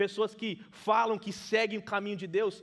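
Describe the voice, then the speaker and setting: At a moderate pace, a man with a non-native accent speaks at a high pitch. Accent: limited Portuguese, non-native. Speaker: preacher. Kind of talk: sermon. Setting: church.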